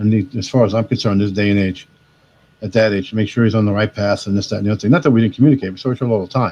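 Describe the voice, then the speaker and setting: Talking at a very fast pace, a man with an American accent has fairly low pitch and a dark, mellow tone. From New York, Queens and Long Island. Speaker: caller on a reselling livestream. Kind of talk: casual chat. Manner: animated.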